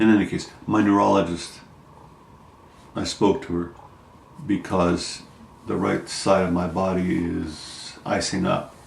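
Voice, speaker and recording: A man with a very deep, low voice is heard with audible room echo and noticeable background noise. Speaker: vlogger sharing health update. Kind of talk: personal video diary. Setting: at home. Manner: halting, many fillers.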